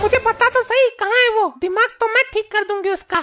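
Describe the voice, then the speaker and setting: With music in the background, a woman puts on a squeaky, cartoonish character voice at an extremely high pitch, talking at a fairly quick pace with ordinary pitch variation. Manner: loud, scolding.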